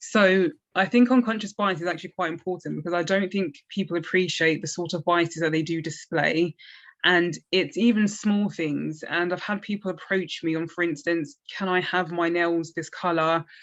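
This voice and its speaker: A woman with a South East London accent talks at a moderate pace, her pitch fairly low with ordinary variation. The background is quiet. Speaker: recently qualified lawyer, interview panel member. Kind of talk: panel discussion.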